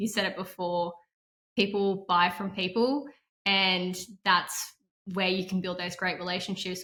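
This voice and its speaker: A woman's bright, sharp, monotone, flat voice with a slight non-native accent on a very clean recording with a silent background. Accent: barely noticeable non-native. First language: not English. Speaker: tech sales professional. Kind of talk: interview answer.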